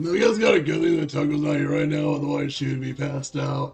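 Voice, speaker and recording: Over faint background music, a man uses a raspy, put-on character voice at a very fast pace. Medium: game stream. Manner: confident, blunt.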